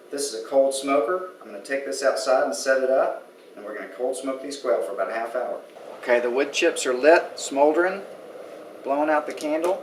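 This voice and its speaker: A man with an American accent talks at a fairly quick pace, with big swings in loudness. Noticeable background noise and audible room echo are present. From Texas, Austin. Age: 40s. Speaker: cooking competition contestant, architect. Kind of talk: cooking demonstration. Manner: casual.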